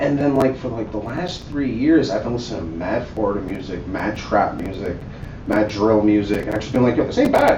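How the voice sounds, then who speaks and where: A man at medium pitch with an American accent, fairly quick pace and ordinary pitch variation, amid noticeable background noise and audible room echo. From Staten Island, New York. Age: 20s. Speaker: podcast host. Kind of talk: casual chat.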